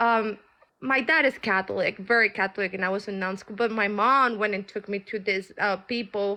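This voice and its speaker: With a Colombian accent, a woman speaks at a fairly high pitch and a moderate pace, using fairly even intonation. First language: Spanish. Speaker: caller on live tarot stream. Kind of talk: personal testimony. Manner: halting.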